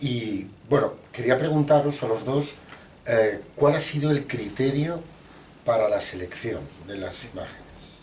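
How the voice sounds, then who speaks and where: Over noticeable background noise and audible room echo, a man with a fairly high pitch talks at a moderate pace, with ordinary pitch variation and big swings in loudness. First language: Spanish. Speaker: book panelist. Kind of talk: book presentation talk. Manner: halting in English.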